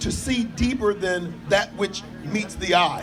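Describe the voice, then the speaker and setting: A high-pitched man's voice at a fairly slow pace, with ordinary pitch variation and music in the background. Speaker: pastor. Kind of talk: sermon-style public address. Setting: outdoors at a rally with audience responses.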